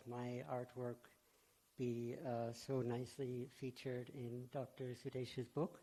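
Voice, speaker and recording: A man with an American accent speaks in a dark, mellow tone at a medium pitch. His intonation is fairly even. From USA. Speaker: devotional artist. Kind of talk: speech at event.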